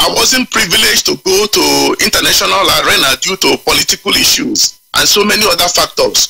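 With a Nigerian accent, a man talks at a fairly quick pace with hardly any pauses and very even loudness, and the sound is dry and close with no echo. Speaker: caller. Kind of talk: call-in radio show.

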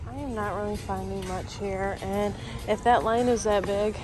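With clear music in the background, a woman speaks at a fairly slow pace in a dry sound with no echo. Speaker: shopping vlogger. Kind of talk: casual vlog chat. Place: shop. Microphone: phone near.

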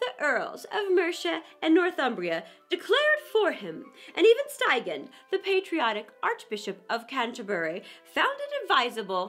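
In a put-on character voice, a woman talks at a moderate pace with a high pitch, very wide pitch swings and a fairly bright tone while faint music plays in the background.

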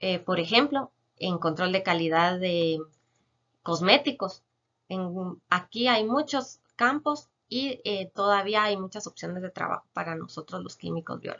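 A woman speaks at a fairly slow pace against a quiet background. Her intonation is lively, with big swings in loudness. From Guatemala, San Marcos; Guatemala. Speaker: chemist biologist. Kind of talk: educational Q&A explanation. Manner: frequent filler hesitations. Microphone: webcam.

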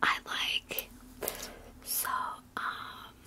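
A woman's whisper. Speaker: makeup roleplay creator. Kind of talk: roleplay makeup chat to viewer. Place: home room. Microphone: phone near.

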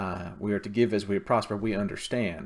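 The man talks at a fairly quick pace. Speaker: church minister. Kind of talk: church announcements. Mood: warm, calm. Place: home room. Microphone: webcam.

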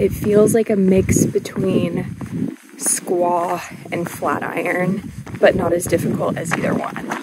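With an American accent, the voice moves at a very slow pace and fairly even intonation, sounding dry with no echo against loud background noise. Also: woman. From Arizona, US. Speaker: travel vlogger. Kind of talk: on-location vlog. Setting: outdoors. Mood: cheerful, relaxed. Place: open country. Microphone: phone near.

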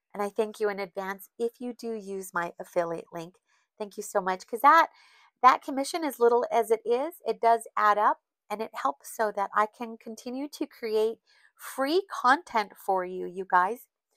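A woman's nasal voice, fairly high in pitch, with a bright, sharp tone and a dry, close sound with no echo. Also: ordinary pitch variation, moderate pace.

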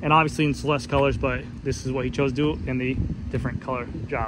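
With a very fast pace, a man speaks in a dry sound with no echo over noticeable background noise. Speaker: bike reviewer. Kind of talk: casual product commentary. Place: street. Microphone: phone near.

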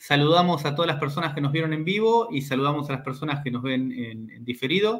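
At a very fast pace, a man talks with lively intonation at a fairly high pitch. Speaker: university researcher and interview host. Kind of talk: interview.

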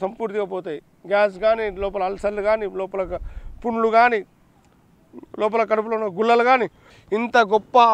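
Dry and echo-free, a man's high voice holds a monotone, flat intonation. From Andhra Pradesh, Giddalur area (Prakasam district); Andhra Pradesh. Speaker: ayurvedic herbal healer. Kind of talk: health remedy tutorial. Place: garden. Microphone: lapel.

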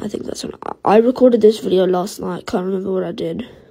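A woman with a dark, mellow tone and vocal fry talks at a very fast pace. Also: big swings in loudness. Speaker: gaming video creator. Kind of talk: casual gameplay commentary. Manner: halting, with many fillers.

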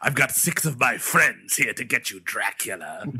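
A man performs a put-on character voice. He keeps to a moderate pace. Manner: cartoonish, comic.

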